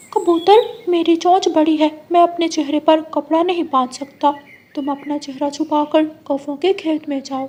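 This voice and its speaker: A cartoonish character voice pitched high. It moves at a moderate pace. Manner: eager.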